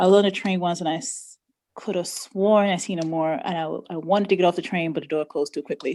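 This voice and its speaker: A woman with a New York accent talks at a very fast pace and a medium pitch, with a dark, mellow tone and ordinary pitch variation. Her loudness swings widely on a very clean recording with a silent background. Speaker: study group participant. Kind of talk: casual chat.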